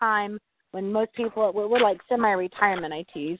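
A woman talks with a Southern US accent. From Arkansas, US South. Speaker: exterior washing business owner.

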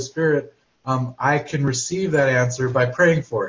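Somewhat breathy and fairly high-pitched, a man speaks at a moderate pace. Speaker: class participant.

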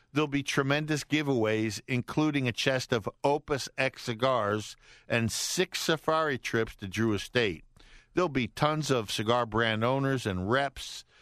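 A man's normal speaking voice at a fairly slow pace, dry and close with no echo against a quiet background. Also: medium pitch for a man, ordinary pitch variation. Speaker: radio host. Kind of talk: live radio DJ patter, upbeat and bantering, with stock sign-offs. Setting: radio studio broadcast.

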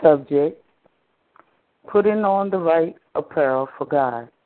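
A woman with a Southern US accent talks at a very slow pace, her intonation lively. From US South, eastern North Carolina. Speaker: minister. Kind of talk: sermon. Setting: phone conference line.

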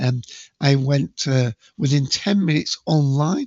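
Recorded dry and close with no echo, a man talks at a fairly slow pace with a slightly mellow tone, medium pitch and ordinary pitch variation.

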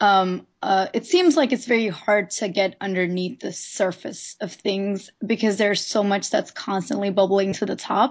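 Somewhat breathy woman at a medium pitch and moderate pace, ordinary pitch variation, hardly any pauses. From India. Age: 20s. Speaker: art school graduate, new meetup member. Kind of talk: casual chat.

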